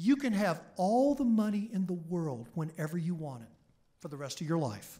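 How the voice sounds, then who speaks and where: A man with a high-pitched, dark, mellow voice speaks at a moderate pace, his pitch swinging very widely. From Oklahoma, US. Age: 60s. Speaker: history professor. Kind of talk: public lecture. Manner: animated storytelling.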